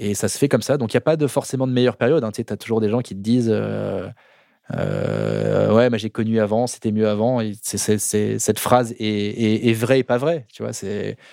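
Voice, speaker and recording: This man has a dark, mellow tone and fairly even intonation. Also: fairly low pitch for a man, moderate pace. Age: 40s. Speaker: watch expert and video creator. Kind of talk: casual chat. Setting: studio. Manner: halting.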